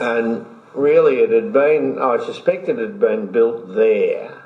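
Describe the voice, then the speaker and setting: At a fairly slow pace a man talks, with noticeable background noise behind his words. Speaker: former mayor and community activist, interviewee. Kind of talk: oral history interview answer.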